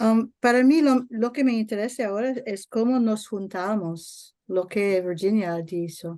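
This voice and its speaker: A woman with a non-native accent and a dark, mellow tone, fairly slow with hardly any pauses, ordinary pitch variation, quiet background. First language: not Spanish (speaking Spanish). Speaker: network member. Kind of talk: online workshop Q&A comment. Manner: halting.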